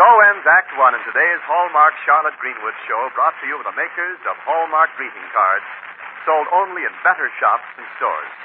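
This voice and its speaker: A man talks at a moderate pace, his loudness swinging widely, with noticeable background noise behind him. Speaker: radio announcer narrator. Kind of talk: scripted radio announcer narration and ad reading. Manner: formal, polished, smooth announcer delivery. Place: studio. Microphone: old recording.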